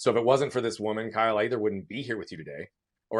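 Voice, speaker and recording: This man talks very fast at a fairly low pitch, with ordinary pitch variation. The recording is very clean over a silent background. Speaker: motivational speaker. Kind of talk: interview. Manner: animated.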